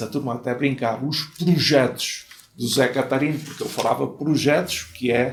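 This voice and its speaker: Somewhat breathy, a man at medium pitch talks fairly slowly with fairly even intonation. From Portugal. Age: 80s+. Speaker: former mayor. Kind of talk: interview storytelling. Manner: conversational, frequent fillers.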